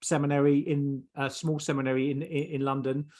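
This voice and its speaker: Here a man speaks with a southeast English accent. His pace is moderate. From southeast England. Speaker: theologian. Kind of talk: interview. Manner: halting.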